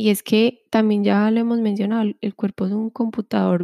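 Recorded very cleanly against a silent background, a woman's dark, mellow voice sounds dry and close with no echo, her intonation fairly even. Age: 20s. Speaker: wellness podcast co-host. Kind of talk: casual chat.

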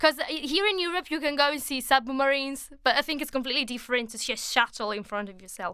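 A woman talks very fast in an Italian accent with a raised, projected voice, high pitch and hardly any pauses. Her tone is bright and sharp, with lively intonation and big swings in loudness. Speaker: travel podcast host. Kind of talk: casual interview.

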